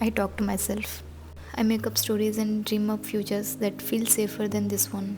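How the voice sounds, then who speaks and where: Soft-spoken female voice against noticeable background noise. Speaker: art vlogger. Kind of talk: reflective voiceover narration. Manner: slow.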